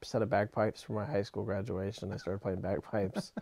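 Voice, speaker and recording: Talking at a very fast pace, a man has a fairly low pitch and a dark, mellow tone. The sound is dry with no echo, and the background is quiet. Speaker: interviewee. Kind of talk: interview answer. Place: home room. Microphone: lapel.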